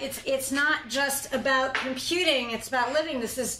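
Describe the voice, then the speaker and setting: Projecting her voice, a woman speaks at a high pitch with an American accent and ordinary pitch variation. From US Northeast (New York, Boston, Philadelphia). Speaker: university professor, historian of science. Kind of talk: lecture.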